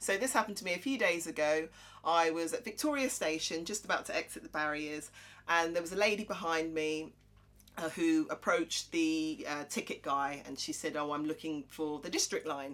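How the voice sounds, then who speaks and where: This woman's pitch is fairly low, with ordinary variation. She talks at a fairly quick pace. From Croydon, south London. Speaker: podcast co-host, accountant and presenter. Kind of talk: casual chat.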